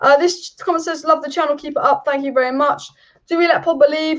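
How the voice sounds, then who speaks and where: In an English accent, a woman talks at a very fast pace. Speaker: football youtuber. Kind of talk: live stream chat.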